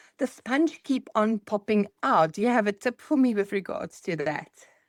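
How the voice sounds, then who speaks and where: With a South African accent and lively intonation, this voice moves at a moderate pace, in a dry, close sound with no echo. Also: woman. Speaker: nail tech, class participant. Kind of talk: question in online class.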